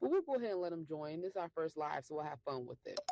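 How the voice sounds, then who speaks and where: A woman with an American accent, very fast pace and lively intonation, fairly low pitch and a dark, mellow tone, in a dry, close sound with no echo. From Michigan, US. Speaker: podcast host. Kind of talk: casual chat.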